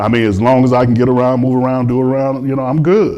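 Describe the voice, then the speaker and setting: Audible room echo surrounds a man speaking at medium pitch in a dark, mellow tone. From Chicago. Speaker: philosopher and former chef. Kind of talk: interview in front of audience. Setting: spiritual center hall with audience.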